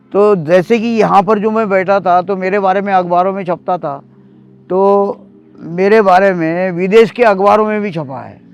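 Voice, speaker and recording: A man's high voice with fairly even intonation and big swings in loudness. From Maharashtra, India (Amravati). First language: Marathi (speaking Hindi). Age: 70s. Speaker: novelist and former tea seller. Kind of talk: interview monologue.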